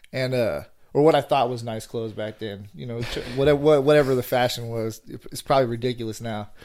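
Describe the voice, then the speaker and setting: A man with an American accent speaks at a fairly quick pace in a plain, everyday voice. His medium pitch holds fairly even intonation on a very clean recording with a silent background. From Northern California (Vallejo). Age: 30s. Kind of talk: casual interview chat.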